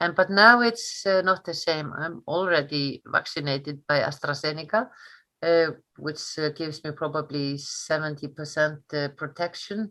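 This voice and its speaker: A woman's very deep, low voice with a bright, sharp tone, an Icelandic accent and a fairly slow pace against a quiet background. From northern Iceland. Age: 60s. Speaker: history teacher. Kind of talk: interview. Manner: halting, many fillers.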